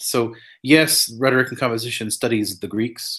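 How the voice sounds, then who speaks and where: A man talks at a moderate pace in a medium pitch. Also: very clean recording, silent background. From New Mexico, US. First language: Spanglish. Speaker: professor. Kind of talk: interview. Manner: halting, many fillers and repetitions.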